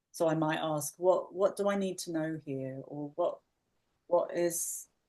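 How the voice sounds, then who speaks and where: Speaking with an English accent, a woman with a very deep, low pitch talks at a moderate pace with ordinary pitch variation. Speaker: podcast co-host. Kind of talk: casual podcast conversation.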